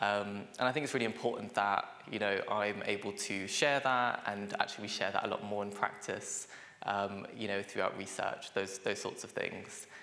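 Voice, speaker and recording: With a London accent, a man talks at a moderate pace and fairly even intonation, over noticeable background noise and audible room echo. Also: fairly low pitch for a man. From London, England. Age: 20s. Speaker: social worker and lecturer. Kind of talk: conference workshop presentation. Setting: conference room with audience. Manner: hesitant, many fillers.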